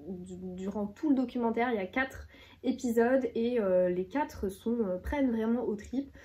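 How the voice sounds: Here is a woman with a medium-pitched voice. Her tone is dark and mellow.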